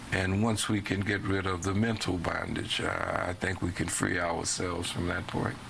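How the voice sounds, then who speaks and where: A man's very deep, low voice in a New Orleans accent, monotone and flat, at a moderate pace with hardly any pauses and very even loudness, amid audible room echo and noticeable background noise. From US South, New Orleans. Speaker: interviewee. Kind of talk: interview; casual chat.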